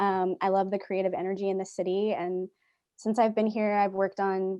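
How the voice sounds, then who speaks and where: A woman at a medium pitch with a dark, mellow tone, speaking at a fairly quick pace against a quiet background. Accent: American. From US, central Pennsylvania. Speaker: filmmaker. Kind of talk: panel discussion.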